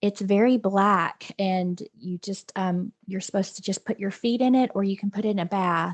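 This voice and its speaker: Southern accent with fairly even intonation, a moderate pace and hardly any pauses, in a dry, close sound with no echo. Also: woman, medium pitch for a woman. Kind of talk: casual chat.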